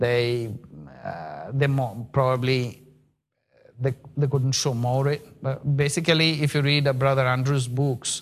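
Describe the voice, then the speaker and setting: A man's medium-pitched voice with a Bengali accent, fairly slow pace and fairly even intonation. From India, Bengali. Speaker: missionary. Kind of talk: sermon. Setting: church. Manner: halting.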